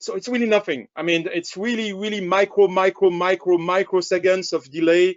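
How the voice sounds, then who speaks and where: A man with a French accent speaks in a high voice with fairly even intonation. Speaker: camera company sales director. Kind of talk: webinar product presentation. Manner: halting, many fillers.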